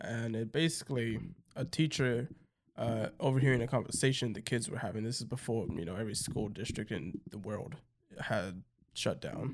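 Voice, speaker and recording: The pitch variation here is ordinary. A normal speaking voice goes at a moderate pace. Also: man, medium pitch for a man. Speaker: podcast co-host. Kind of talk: casual chat. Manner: joking, sarcastic.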